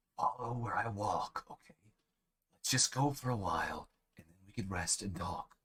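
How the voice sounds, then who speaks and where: This quiet put-on character voice moves at a moderate pace. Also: man, medium pitch for a man. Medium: read story. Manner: hushed, firm.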